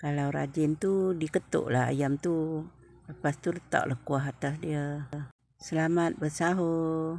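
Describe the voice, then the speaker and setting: With light background noise and a dry sound with no echo, a woman speaks at a very slow pace, with a very deep, low pitch and fairly even intonation. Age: old. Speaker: cooking vlogger. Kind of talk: cooking tutorial. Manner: casual. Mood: relaxed, friendly. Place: kitchen. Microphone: phone near.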